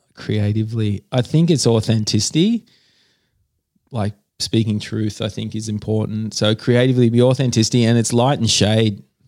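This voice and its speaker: In a very clean recording with a silent background, a man with medium pitch speaks at a moderate pace with fairly even intonation in an Australian accent. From Australia, New South Wales Central Coast. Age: 40s. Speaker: artist. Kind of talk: casual interview. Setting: home studio.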